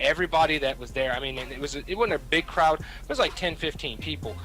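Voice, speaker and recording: In a Southern US accent, a man speaks with music in the background. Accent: Southern US, noticeable outside Kentucky. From Kentucky. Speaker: radio personality, military member. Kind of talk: casual chat. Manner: animated.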